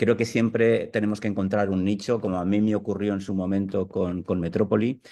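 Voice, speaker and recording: Against a quiet background, a man with a fairly low pitch and a dark, mellow tone speaks in monotone, flat intonation. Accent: Castilian. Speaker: newspaper art director. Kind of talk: online video interview.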